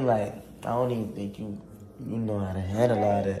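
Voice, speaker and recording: A man at a fairly low pitch amid audible room echo and light background noise. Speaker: livestreamer. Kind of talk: casual livestream chat. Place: home room. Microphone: phone near.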